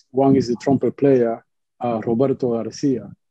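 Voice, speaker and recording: A man with a Cuban accent at a fairly quick pace. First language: Spanish. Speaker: musician. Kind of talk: panel discussion. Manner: halting.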